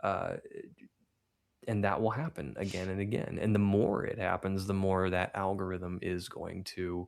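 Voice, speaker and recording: Using fairly even intonation, a man with a Midwestern US accent talks at a moderate pace. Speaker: streamer. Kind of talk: interview.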